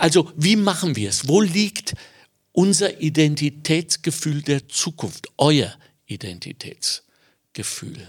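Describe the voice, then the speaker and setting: On a very clean recording with a silent background and a dry, close sound without echo, a man with a fairly high pitch and vocal fry speaks at a very slow pace. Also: lively intonation. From Germany. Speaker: podcast host. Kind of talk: interview.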